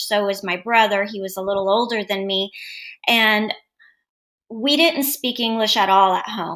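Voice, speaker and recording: A woman with an American accent and a bright, sharp tone, fairly high in pitch, at a moderate pace. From United States (born in former Yugoslavia). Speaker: educational consultant and author. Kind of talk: interview.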